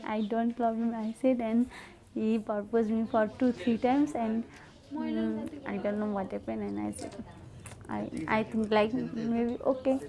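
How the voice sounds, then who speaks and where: A woman speaks with a Nepali accent. Her pace is fairly slow. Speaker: nurse. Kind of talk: documentary interview.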